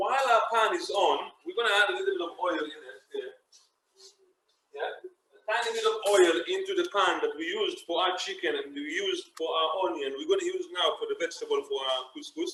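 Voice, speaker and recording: A man with an Israeli accent talks at a fairly quick clip in a raised, projected voice, his bright, sharp tone set at an extremely high pitch and swinging very widely. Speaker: chef. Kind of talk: cooking tutorial.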